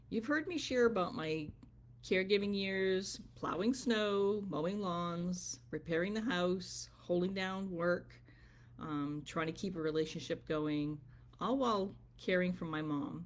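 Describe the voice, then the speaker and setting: Speaking at a fairly slow pace, a woman uses a normal speaking voice at medium pitch with ordinary pitch variation. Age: 60s. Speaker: business coach and wellness vlogger. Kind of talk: motivational livestream talk. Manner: conversational, with filler ums.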